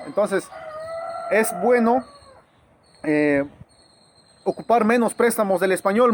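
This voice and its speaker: A high-pitched man with an Oaxacan accent at a fairly slow pace, over noticeable background noise. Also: dry, close sound with no echo. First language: Zapotec (speaking Spanish). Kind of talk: informal educational talk to camera. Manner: halting, many fillers and restarts.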